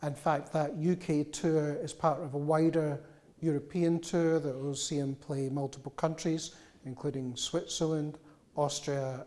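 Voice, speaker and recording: The speaker has a Glaswegian accent. The pace is moderate. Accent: Glaswegian Scottish. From Scotland, Glasgow. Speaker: music journalist and interviewer. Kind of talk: live public interview. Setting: cultural institute room with live audience. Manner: hesitant, many fillers.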